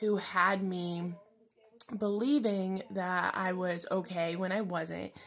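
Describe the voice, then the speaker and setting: Ordinary variation in pitch from a woman. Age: 20s. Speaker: vlogger. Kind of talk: personal video diary. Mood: candid, reflective, personal struggle. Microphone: phone near.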